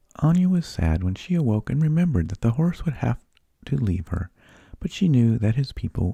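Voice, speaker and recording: Soft-spoken and somewhat breathy, a man with a dark, mellow tone swings very widely in pitch, recorded dry and close with no echo. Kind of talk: bedtime story reading.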